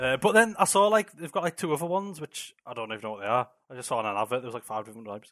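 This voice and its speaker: A man talks at a very fast pace with hardly any pauses, his medium pitch swinging very widely and his loudness varying a lot, in a dry, close sound with no echo. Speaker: podcast co-host. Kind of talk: casual chat. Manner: laid-back, joking.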